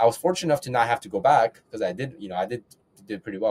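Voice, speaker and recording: A man talks at a very fast clip with lively intonation and a layer of vocal fry. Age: 20s. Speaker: real estate investor. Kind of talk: podcast interview. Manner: halting with repetitions.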